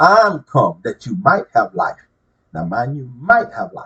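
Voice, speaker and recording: The man's voice carries vocal fry. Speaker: self-proclaimed religious messenger. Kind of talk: religious preaching monologue. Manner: loud; serious, emphatic.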